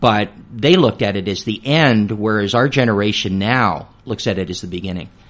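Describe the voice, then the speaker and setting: A man with a normal speaking voice, fairly low in pitch, at a moderate pace with ordinary pitch variation. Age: 60s. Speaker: retirement planning speaker. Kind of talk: radio interview.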